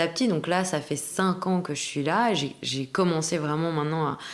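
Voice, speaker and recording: Fairly slow delivery in an unremarkable speaking voice. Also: woman. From Belgium. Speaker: actress. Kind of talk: interview conversation.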